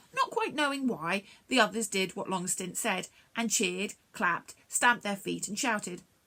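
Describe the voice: A plain read-aloud delivery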